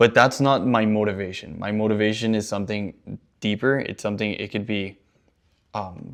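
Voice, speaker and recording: An ordinary speaking voice moves at a moderate pace with fairly even intonation. The background is quiet. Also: man, fairly low pitch for a man. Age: 20s. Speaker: founder of a soccer training business. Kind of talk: casual business meeting talk.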